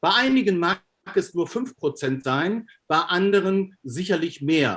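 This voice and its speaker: A man's high voice in a German accent, fairly slow in pace, with ordinary pitch variation. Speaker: optics lecturer. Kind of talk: Q&A answer.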